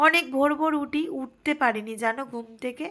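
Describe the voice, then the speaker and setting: Bright and sharp in tone, a woman's high voice moves with ordinary pitch variation on a very clean recording with a silent background. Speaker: vlogger. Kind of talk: casual vlog narration and cooking tutorial. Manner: chatty, addresses viewers warmly.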